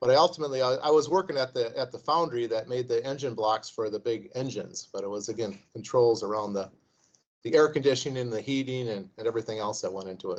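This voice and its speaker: This man has an American accent and a medium pitch. He talks at a very fast pace. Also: ordinary pitch variation. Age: 60s. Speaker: investment firm CEO, former engineer. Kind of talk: interview. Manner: halting, many repetitions.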